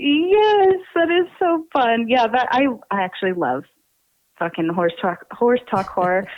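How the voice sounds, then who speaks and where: In an American accent, the speaker moves at a fairly slow pace with very wide pitch swings. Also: woman, high pitch for a woman. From Pennsylvania. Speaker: podcast co-host. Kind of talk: interview. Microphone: backup audio, tech issue.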